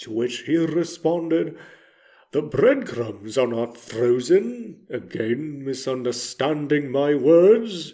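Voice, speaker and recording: A man's put-on character voice, fairly high-pitched, at a very slow pace. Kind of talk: character monologue reading. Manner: exaggerated dramatic.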